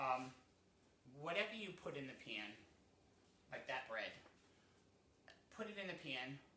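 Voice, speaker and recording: Amid audible room echo, a man with an American accent talks at a moderate pace in a fairly high voice, his pitch swinging very widely, with long, frequent pauses. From New England, US. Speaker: cooking show host. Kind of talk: cooking tutorial. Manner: casual, with many fillers.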